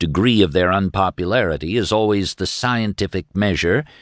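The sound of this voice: Someone reads in an unforced voice.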